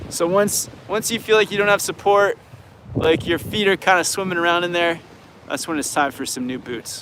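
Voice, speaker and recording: Over noticeable background noise, a man with a Canadian accent talks at a moderate pace and a high pitch, with ordinary pitch variation. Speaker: snowboard instructor and video creator. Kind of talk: live Q&A stream. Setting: outdoors at a beach. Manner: casual, halting with many restarts.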